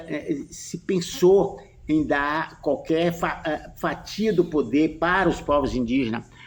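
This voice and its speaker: At a very slow pace, a man speaks in a fairly high voice with ordinary pitch variation. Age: 80s+. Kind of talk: interview conversation.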